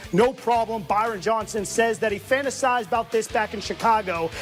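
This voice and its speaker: A man's high-pitched voice at a moderate pace, with music in the background. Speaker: sports anchor/reporter. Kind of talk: TV sports news report.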